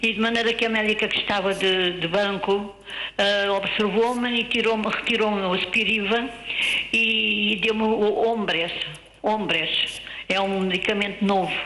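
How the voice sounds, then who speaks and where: Audible room echo and noticeable background noise surround speech with very even loudness, monotone, flat intonation and a fairly slow pace. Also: woman, medium pitch for a woman. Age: 70s. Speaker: caller with COPD. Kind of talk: phone-in question.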